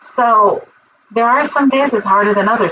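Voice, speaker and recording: With ordinary pitch variation, a woman talks in an animated tone. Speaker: spiritual teacher. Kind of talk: livestream talk. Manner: loud. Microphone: muffled computer mic, external mic not plugged in.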